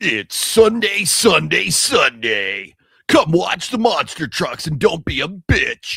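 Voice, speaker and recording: A man puts on a character voice, pitched high. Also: fairly slow pace. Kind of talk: advertising announcer.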